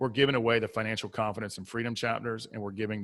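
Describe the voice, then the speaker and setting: Heard on a very clean recording with a silent background, a man talks in a Southern US accent. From US South. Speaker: mindset coach and author. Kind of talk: podcast interview. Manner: animated.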